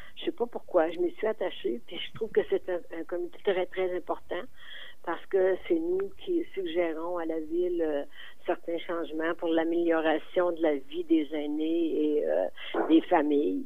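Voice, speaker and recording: Fairly low in pitch, a woman talks at a fairly slow pace with fairly even intonation, and room echo is audible. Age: 80s+. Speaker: community volunteer. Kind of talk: radio interview.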